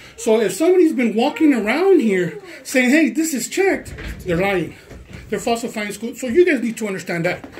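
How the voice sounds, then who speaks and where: Noticeable background noise sits under the voice. The delivery is fairly quick. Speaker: complainant recording a confrontation. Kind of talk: heated conversation. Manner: loud; animated.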